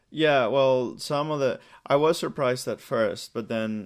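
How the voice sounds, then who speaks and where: Here is an unremarkable speaking voice, a man's, with ordinary pitch variation. He goes at a fairly slow pace on a very clean recording with a silent background. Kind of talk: casual interview.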